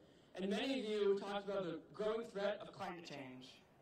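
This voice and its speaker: In a room with strong echo, a woman speaks at a very fast pace. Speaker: campaign organizer. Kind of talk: rally speech. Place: stadium. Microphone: podium.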